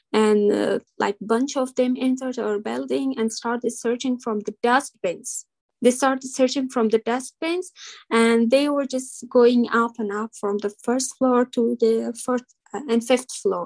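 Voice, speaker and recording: The sound is dry and close, with no echo. A woman speaks fairly slowly at a high pitch with fairly even intonation. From Afghanistan. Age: 20s. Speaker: school founder. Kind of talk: interview.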